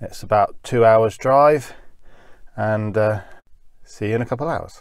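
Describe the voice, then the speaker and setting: At a moderate pace, a man speaks with ordinary pitch variation against a quiet background, in a dry sound with no echo. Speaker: hobby engineer vlogger. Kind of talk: casual vlog chat. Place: car. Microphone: phone near.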